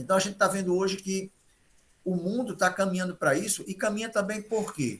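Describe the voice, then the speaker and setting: Male speech, high-pitched and fairly quick, the pitch moving in an ordinary way. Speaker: health professional giving talk. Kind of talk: health talk to group of elderly.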